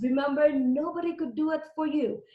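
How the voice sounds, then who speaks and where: A woman's animated, high-pitched voice with a Filipino accent. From Philippines (Leyte, Visayas). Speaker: emergency nurse and nursing educator. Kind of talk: webinar presentation. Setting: online webinar.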